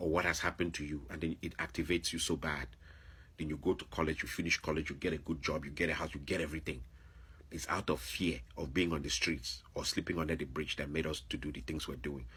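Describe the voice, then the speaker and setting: Very deep, low male voice at a very fast pace, bright and sharp in tone, with vocal fry. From Nigeria. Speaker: vlogger, former teacher. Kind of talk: opinion monologue. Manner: animated.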